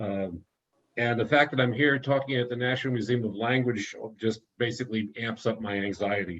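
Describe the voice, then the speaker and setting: A man speaks at medium pitch. His pace is moderate, with ordinary pitch variation. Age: 60s. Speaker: author. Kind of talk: presentation. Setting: video call. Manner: halting.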